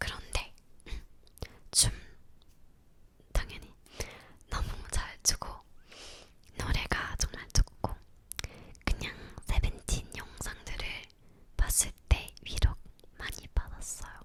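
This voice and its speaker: Whispering with a non-native accent at a very slow pace, the speaker leaves long, frequent pauses over noticeable background noise. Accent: non-native Korean, self-taught learner. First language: Romanian (speaking Korean). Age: 20s. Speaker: ASMR YouTuber. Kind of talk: casual Q&A chat. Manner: halting, searching for words.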